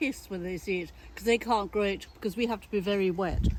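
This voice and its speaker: In an English accent, a woman talks rather quickly. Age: 80s+. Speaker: gardener. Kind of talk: casual chat. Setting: outdoors. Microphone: sound sometimes bad from turning away.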